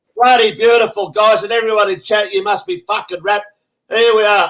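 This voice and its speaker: The pace is fairly quick. The speaker has an Australian accent. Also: man. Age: 60s. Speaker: online show host. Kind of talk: casual group chat on a live stream. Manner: animated.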